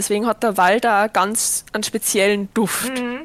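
In a Viennese accent, a woman with a fairly high pitch speaks in an animated tone at a fairly slow pace, the sound dry and close with no echo. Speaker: podcast host and streamer. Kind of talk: casual chat.

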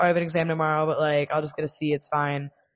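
A woman speaks over a quiet background. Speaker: podcast host. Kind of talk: casual solo chat podcast. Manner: casual, chatty, filler words.

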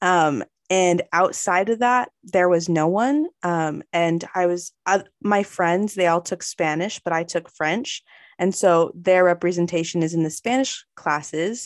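A woman with an American accent and an ordinary speaking voice, fairly low in pitch with ordinary variation, at a fairly slow pace, in a dry, close sound with no echo. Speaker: student podcast interviewer. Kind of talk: interview.

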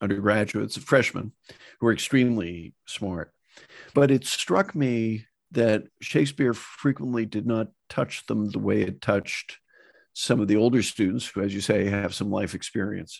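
A normal speaking voice from a man with an American accent, fairly low in pitch, with ordinary pitch variation, a moderate pace and a quiet background. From US Northeast, Boston area. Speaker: professor. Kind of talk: interview. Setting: in his study.

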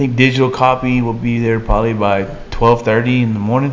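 A man speaks with a Texan accent. The room echo is audible, and background noise is noticeable. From Texas. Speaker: sports talk show co-host. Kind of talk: casual chat.

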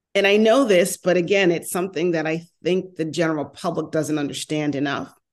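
A woman speaks with a New York accent at a fairly low pitch. Her pitch varies in an ordinary way. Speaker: mobility industry consultant and former transportation official. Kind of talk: casual interview conversation. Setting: video call, remote, based in Los Angeles.

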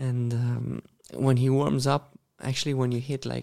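In a Romanian accent, a man speaks at medium pitch with a dark, mellow tone. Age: 30s. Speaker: professional tennis player. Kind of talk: casual interview.

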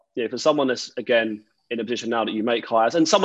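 A man with an Essex accent talks at a very fast pace. His pitch sits in the medium range. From Essex, England. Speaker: podcast host and tech recruiter. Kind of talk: casual interview.

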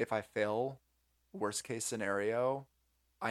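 This is a normal speaking voice with an American accent and fairly even intonation. The recording is very clean, with a silent background. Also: man. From US Southeast, North Carolina. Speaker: entrepreneur. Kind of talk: casual interview chat.

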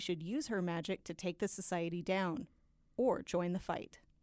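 Over a very clean recording with a silent background, a woman with an American accent speaks in an unremarkable speaking voice at a moderate pace with ordinary pitch variation. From US South. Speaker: podcast guest and medievalist. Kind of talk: casual chat, book discussion.

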